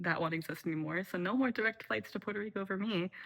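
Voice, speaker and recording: A woman of medium pitch sounds bright and sharp, with an animated tone and ordinary pitch variation. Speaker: video blogger. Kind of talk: casual chat. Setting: at home at night, making tea. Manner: soft-spoken, moving close to the mic late at night.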